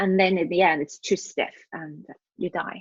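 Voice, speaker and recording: A woman's somewhat breathy voice at a moderate pace, dry and close with no echo. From Norway. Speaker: leadership coach and mother of a sick child. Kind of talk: podcast interview.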